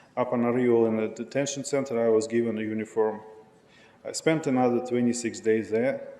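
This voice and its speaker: A man with a non-native accent talks at a fairly quick pace, using a medium pitch and fairly even intonation. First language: not English. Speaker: public commenter, asylum seeker. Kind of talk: public comment testimony. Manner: halting, many fillers.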